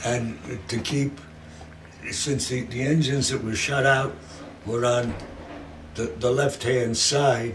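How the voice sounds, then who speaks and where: With audible room echo and noticeable background noise, a man of medium pitch speaks at a very slow pace with fairly even intonation and long, frequent pauses. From New York. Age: 80s+. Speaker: war veteran and garment equipment supplier. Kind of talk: oral history interview.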